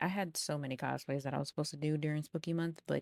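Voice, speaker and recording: A woman with a very deep, low pitch and fairly even intonation is heard in a dry, close sound with no echo, on a very clean recording with a silent background. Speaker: cosplay content creator. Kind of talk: voiceover commentary on cosplay makeup video. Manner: casual, chatty.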